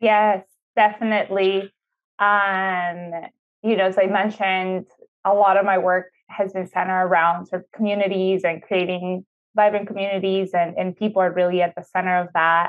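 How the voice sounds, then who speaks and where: A woman with a Spanish accent speaks at a medium pitch and a moderate pace, her intonation monotone and flat. Her loudness swings widely over a quiet background. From Ecuador (Quito), moved to Houston, Texas at 13. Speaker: city sustainability official, architect and urban planner; guest. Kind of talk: interview conversation. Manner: frequent fillers (um, uh). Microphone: earbuds.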